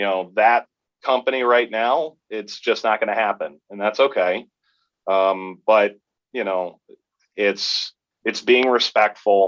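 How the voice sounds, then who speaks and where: The voice comes across dry and close with no echo, speaking at a fairly slow pace in an American accent, with fairly even intonation and long, frequent pauses. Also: man, fairly low pitch for a man. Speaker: sports play-by-play announcer. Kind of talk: podcast interview.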